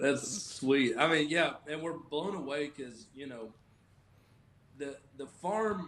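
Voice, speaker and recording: Speaking very slowly, a man with a Southern US accent uses a fairly high pitch and ordinary pitch variation. Noticeable background noise sits under his voice. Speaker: business founder and CEO. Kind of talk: interview answer.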